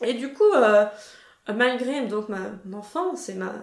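A woman speaks in a high voice with lively intonation, and the room echo is audible. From France (Paris). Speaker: podcast host, former master's student. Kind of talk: casual chat.

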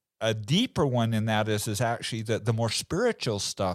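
A man's plain, everyday voice at medium pitch, moderate pace and ordinary pitch variation, in a very clean recording with a silent background. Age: 50s. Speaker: entrepreneur and family legacy speaker. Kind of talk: interview.

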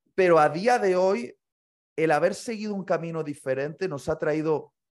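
Fairly slow, lively intonation from a man with an unremarkable speaking voice, against a quiet background. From Spain, Bilbao (Basque Country). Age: 30s. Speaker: pastor and author. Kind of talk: interview conversation. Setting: remote call.

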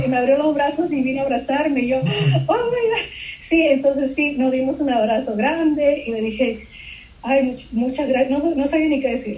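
A woman's high-pitched voice at a moderate pace with ordinary pitch variation, plus noticeable background noise and audible room echo. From Peru (Lima) until 8, then raised in Miami. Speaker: illustrator. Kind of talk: interview. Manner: halting, many repetitions and fillers.

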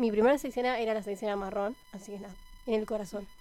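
A woman's ordinary speaking voice, fairly high in pitch, with fairly even intonation. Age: 20s. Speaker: scout program coordinator. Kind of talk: radio interview.

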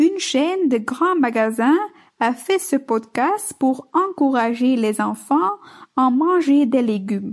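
A woman speaks with a Flemish accent at a very slow pace. Her voice is high-pitched, with lively intonation. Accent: Dutch-speaking Belgian accent in French. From Flanders, Belgium (Bruges). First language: Dutch (speaking French). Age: 20s. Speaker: listener, French learner. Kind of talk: recorded listener message.

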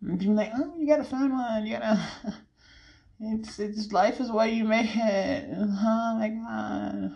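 In a room with audible echo, a woman speaks at a very slow pace. Her voice is fairly high and somewhat breathy. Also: ordinary pitch variation. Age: 30s. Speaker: podcast host. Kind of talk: casual chat. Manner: animated.

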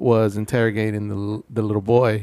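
At a moderate pace and with an American accent, a normal speaking voice comes through on a very clean recording with a silent background. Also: man. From Houston, Texas (Denver Harbor). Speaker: podcast co-host. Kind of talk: casual chat.

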